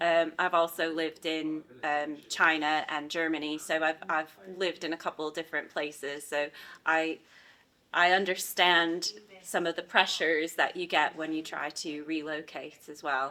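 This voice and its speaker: A woman speaks at a moderate pace in a very deep, low voice with a bright, sharp tone. Her intonation is monotone and flat, and the recording is very clean with a silent background. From United States. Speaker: university visa and immigration advisor. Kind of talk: interview.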